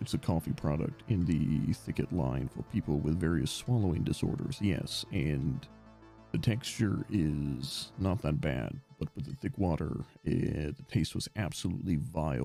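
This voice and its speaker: A man with a gravelly, very deep voice speaks at a fairly slow pace with very wide pitch swings as music plays in the background. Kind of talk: low and rough like a dark villain.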